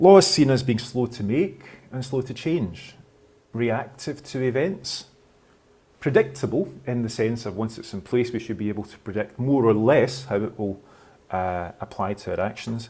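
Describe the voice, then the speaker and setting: With a Scottish accent, a man at medium pitch speaks in a dark, mellow, somewhat breathy tone, his intonation lively and his loudness swinging widely. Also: moderate pace. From Scotland. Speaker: law professor. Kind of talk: lecture.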